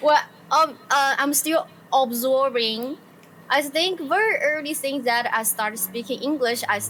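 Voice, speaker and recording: Against noticeable background noise, a woman with a high voice speaks at a fairly slow pace. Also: ordinary pitch variation. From China, Sichuan. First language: Chinese. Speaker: illustrator and streamer. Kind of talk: casual chat.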